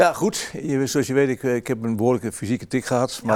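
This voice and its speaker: This man speaks at a very fast pace. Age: 60s. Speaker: former goalkeeper. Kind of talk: interview.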